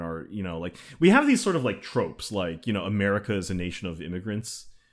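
This man has a normal speaking voice, fairly low in pitch, with lively intonation. The recording is very clean, with a silent background. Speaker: podcast co-host. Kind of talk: casual discussion.

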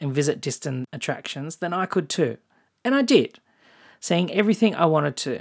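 Over a very clean, silent background, a woman with an Australian accent talks at a fairly low pitch and moderate pace with very wide pitch swings. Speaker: travel podcast host. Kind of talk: scripted narration.

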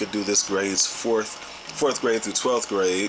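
Monotone, flat speech in a St. Louis accent at a moderate pace, with noticeable background noise. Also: man. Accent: St. Louis Midwestern US. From St. Louis, Missouri. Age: 30s. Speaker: music producer and education program co-founder. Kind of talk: casual interview.

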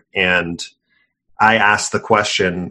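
A man speaks at a very deep, low pitch in a flat monotone, his tone bright and sharp. The recording is very clean, with a silent background. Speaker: podcast host. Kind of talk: casual interview.

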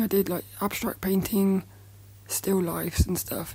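A woman speaks at a moderate pace in a somewhat breathy, nervous tone. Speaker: podcast host, artist. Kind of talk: solo podcast monologue, casual. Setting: recording in bed. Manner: nervous, chatty, halting.

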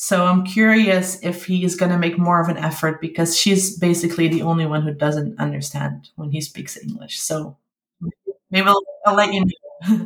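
A woman speaks with a Dutch accent at a moderate pace. Her pitch is fairly low. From Netherlands (Limburg). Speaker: parent of bilingual child. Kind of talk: interview.

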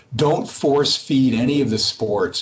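Over noticeable background noise, a man with an American accent talks at a moderate pace and medium pitch, with ordinary pitch variation. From Massachusetts. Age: 60s. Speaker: company CEO. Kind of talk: interview. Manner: halting, many repeated words.

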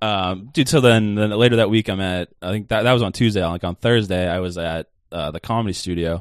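A man's fairly low-pitched, normal speaking voice, fairly quick with hardly any pauses and ordinary pitch variation, dry and close with no echo against a quiet background. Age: 20s. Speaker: stand-up comedian and podcast co-host. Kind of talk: casual chat.

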